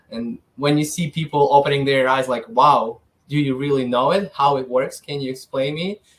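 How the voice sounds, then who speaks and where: At a moderate pace and with ordinary pitch variation, the speaker talks in a Ukrainian accent. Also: man, fairly high pitch for a man. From Ukraine (south, then Kyiv). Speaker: financial advisor. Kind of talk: interview. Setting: podcast.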